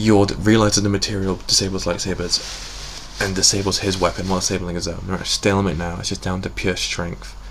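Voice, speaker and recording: Very deep, low male voice at a fairly quick pace with hardly any pauses, over noticeable background noise. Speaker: YouTube reviewer. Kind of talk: review commentary. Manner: halting; enthusiastic.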